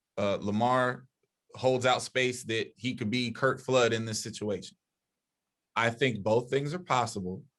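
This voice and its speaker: A man with a normal speaking voice talks at a medium pitch. He moves at a fairly slow pace with fairly even intonation. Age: younger than 60s. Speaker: podcast panelist. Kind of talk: heated debate.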